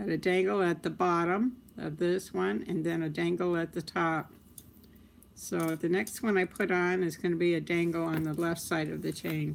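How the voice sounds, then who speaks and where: With a plain, everyday voice, a woman speaks at a moderate pace and fairly low pitch with ordinary pitch variation on a very clean recording with a silent background. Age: 60s. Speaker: crafts livestreamer. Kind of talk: live tutorial. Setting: live stream. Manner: casual, chatty.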